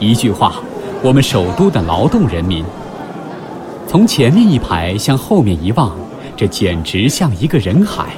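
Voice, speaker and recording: A man talks fairly slowly at a medium pitch, with very wide pitch swings and long, frequent pauses. Music plays in the background. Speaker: audiobook narrator. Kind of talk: literary audiobook reading, scripted essay narration. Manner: measured, formal, expressive.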